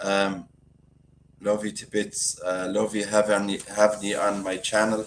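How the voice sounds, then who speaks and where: A man speaks with a strong Galway accent. His pitch sits fairly low. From Ireland, County Galway. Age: 60s. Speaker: YouTuber. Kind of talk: live stream chat. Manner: casual, chatty.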